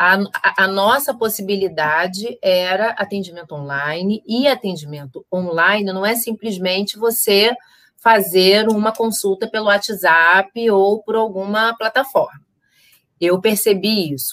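A woman speaks at a fairly slow pace in a medium pitch with ordinary variation. Hers is an unremarkable speaking voice. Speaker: psychologist and therapist. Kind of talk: casual chat. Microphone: audio not reaching YouTube, computer sound issue.

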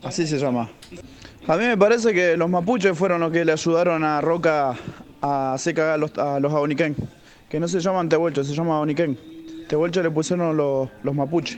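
Noticeable background noise runs under a man with a fairly high pitch. He talks at a moderate pace with ordinary pitch variation. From Argentina, Neuquén. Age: 30s. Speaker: listener sending voice messages. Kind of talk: casual voice message.

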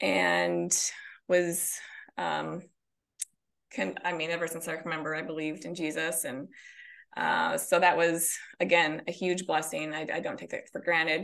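Big swings in loudness mark this woman's speech. She keeps a moderate pace with long, frequent pauses. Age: 40s. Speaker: author and counselor. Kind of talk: casual interview.

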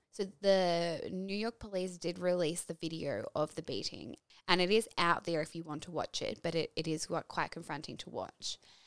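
A woman with an Australian accent speaks at a moderate pace with hardly any pauses and fairly even intonation, the sound dry and close with no echo. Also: fairly low pitch for a woman, very clean recording, silent background. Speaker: podcast host. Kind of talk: scripted narration.

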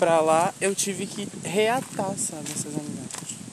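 A man talks very slowly while noticeable background noise runs underneath. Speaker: podcast host. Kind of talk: casual chat. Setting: outdoors.

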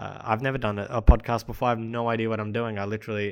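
A man talks at a medium pitch. The background is silent and the recording very clean. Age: 20s. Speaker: personal development podcaster, graphic designer. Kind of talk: casual monologue. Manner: unscripted, hesitant with many fillers.

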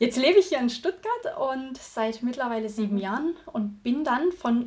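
Her intonation is lively. The woman's pitch is high. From Thuringia, Germany. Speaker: virtual assistant. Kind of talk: casual interview.

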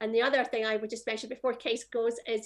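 A woman speaks with a Scottish accent. Her pitch is fairly high. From Scotland. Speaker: music industry association executive. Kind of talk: panel discussion. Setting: video call.

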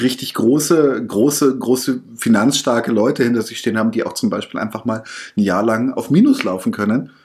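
A man speaks at a fairly quick pace in a plain, everyday voice, with medium pitch and ordinary pitch variation. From Bavaria. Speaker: podcast host, interviewer. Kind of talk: interview. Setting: office room.

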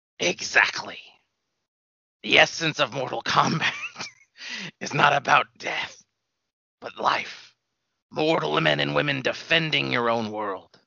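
A man puts on a raspy character voice at a medium pitch, his pitch swinging very widely. He goes at a fairly slow pace with long, frequent pauses. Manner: grave, commanding, prophetic.

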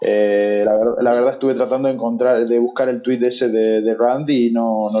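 With an ordinary speaking voice, a man talks at a fairly quick pace and a medium pitch. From Argentina. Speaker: SEO specialist. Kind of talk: interview.

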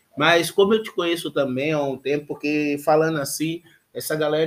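A man's unremarkable speaking voice, fairly high in pitch, with fairly even intonation. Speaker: podcast host. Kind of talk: casual chat.

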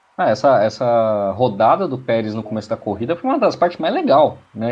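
Using a normal speaking voice, a man of medium pitch talks at a fairly slow pace. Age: 30s. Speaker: motorsport co-host. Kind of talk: casual chat. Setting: online live stream. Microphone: unstable connection, dropped out.

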